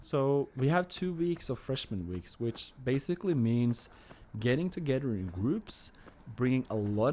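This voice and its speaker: In a Norwegian accent, a man with a medium-pitched voice and a dark, mellow tone speaks at a moderate pace, his pitch swinging very widely. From Norway, Oslo. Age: 30s. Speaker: vlogger. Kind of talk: casual vlog monologue. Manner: halting, many fillers and repeats.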